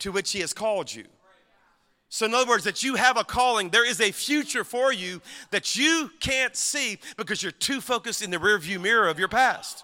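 A man projects his voice loudly at a high pitch. His tone is bright and sharp, with lively intonation. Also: very clean recording, silent background. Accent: Southern US. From Louisiana. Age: 50s. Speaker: pastor. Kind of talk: sermon. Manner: animated.

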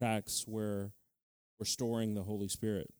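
Recorded very cleanly over a silent background, a man speaks at a medium pitch. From Utah, Mexican-American family. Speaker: preacher. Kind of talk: sermon. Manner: animated.

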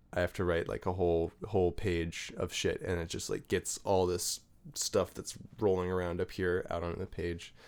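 A man's very deep, low voice in an American accent, monotone and flat, at a moderate pace, in a very clean recording with a silent background. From Virginia, US. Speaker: musician and writer. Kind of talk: casual chat.

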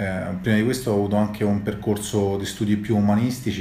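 A moderate pace, with audible room echo and noticeable background noise. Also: man. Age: 30s. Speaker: startup founder and CEO. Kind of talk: interview.

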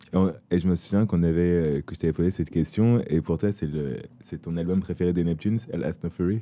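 A man's very deep, low voice, dark and mellow in tone, with fairly even intonation and a fairly quick pace. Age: 30s. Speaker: podcast host. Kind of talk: casual chat.

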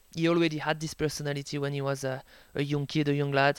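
A man with a French accent speaks at a fairly quick pace and fairly high pitch on a very clean recording with a silent background. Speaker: sports journalist and author. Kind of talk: interview. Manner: hesitant, many fillers.

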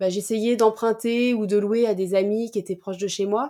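In a dark, mellow tone, the voice moves at a fairly quick pace with fairly even intonation on a very clean recording with a silent background. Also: woman. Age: 30s. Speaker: startup founder. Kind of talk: interview.

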